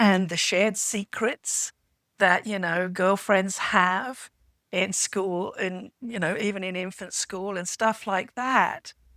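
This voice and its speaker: Woman with a British accent at a medium pitch and very slow pace, bright, sharp tone and fairly even intonation, dry and close with no echo, very clean recording over a silent background. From England. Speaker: podcast panelist. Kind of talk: casual chat.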